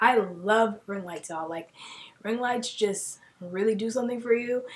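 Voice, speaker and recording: The speaker is soft-spoken and keeps a moderate pace. Intonation stays fairly even. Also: woman. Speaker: beauty YouTuber. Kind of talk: tutorial. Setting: home filming room. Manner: casual, filler-heavy.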